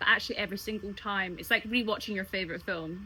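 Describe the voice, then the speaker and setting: Bright and sharp in tone, a woman with a Scottish accent talks at a very fast pace in an animated way at a medium pitch. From Scotland. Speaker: singer and cruise ship entertainer. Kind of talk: interview answer. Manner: chatty, animated.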